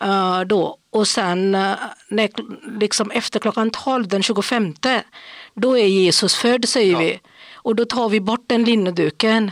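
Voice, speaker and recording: In an ordinary speaking voice, a woman of medium pitch talks at a fairly slow pace, with fairly even intonation and very even loudness. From India. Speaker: podcast guest, day-activity worker. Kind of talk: casual chat.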